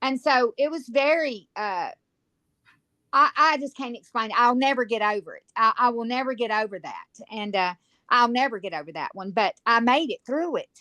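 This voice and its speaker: A woman with a Virginia accent talks at a moderate pace and high pitch with a bright, sharp tone. Her loudness swings widely, and the sound is dry and close with no echo. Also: lively intonation. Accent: Southern US (Virginia). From Virginia, US South. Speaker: guest formerly incarcerated, on sex offender registry. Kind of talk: casual chat; testimony.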